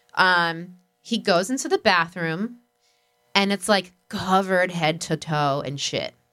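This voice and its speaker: With music in the background, a woman takes a fairly slow pace. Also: medium pitch for a woman, ordinary pitch variation. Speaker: podcast co-host. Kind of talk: casual chat.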